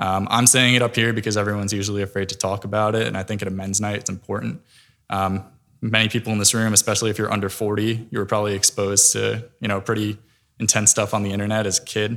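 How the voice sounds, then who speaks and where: A man with an American accent speaks at a very fast pace in a fairly low pitch. His intonation is monotone and flat, and the recording is very clean with a silent background. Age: 20s. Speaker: parishioner giving a talk at a church men's event. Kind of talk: faith talk.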